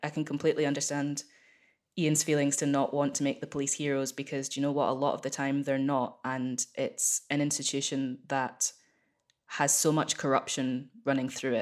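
A woman with a Scottish accent, very deep and low in pitch, monotone and flat in intonation, at a moderate pace. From Scotland, small town. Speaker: actor and musician. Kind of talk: casual interview chat. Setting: video call.

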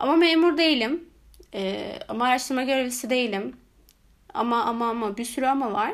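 The woman's voice is high in pitch. It swings very widely up and down. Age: 20s. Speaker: solo podcaster. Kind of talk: casual monologue. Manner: halting, many filler sounds.

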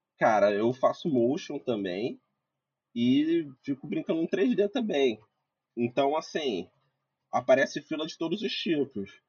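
A man with fairly high pitch and very wide pitch swings, slow-ish in pace, with long, frequent pauses. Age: 20s. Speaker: visual effects compositor. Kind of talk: casual chat. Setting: live video stream.

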